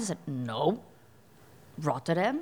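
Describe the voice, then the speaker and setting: A woman's voice in a Portuguese accent with very wide pitch swings. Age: 30s. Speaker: singer. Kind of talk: interview. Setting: studio.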